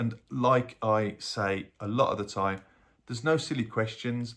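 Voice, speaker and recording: A man with a Birmingham accent, fairly low in pitch, on a very clean recording against a silent background. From Birmingham, England. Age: 50s. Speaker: health vlogger and paramedic. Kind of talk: casual vlog talk to camera.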